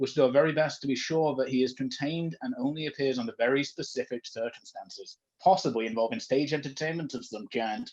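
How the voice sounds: A man talks at a fairly quick pace with few pauses, his medium-pitched voice slightly mellow with a slightly husky edge and ordinary pitch variation.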